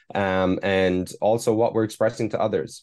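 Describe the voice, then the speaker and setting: In an Irish accent, a man speaks at a very deep, low pitch with monotone, flat intonation. The background is quiet. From Ireland. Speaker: performance mindset coach. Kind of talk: casual interview chat. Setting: remote interview from Hong Kong.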